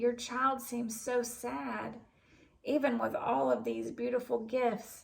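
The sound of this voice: Putting on a character voice, a woman speaks slowly at a fairly high pitch, with vocal fry and fairly even intonation.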